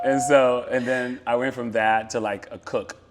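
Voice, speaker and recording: Moderately paced male speech with noticeable background noise. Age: 30s. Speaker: tech product lead. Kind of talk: interview conversation. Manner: loud.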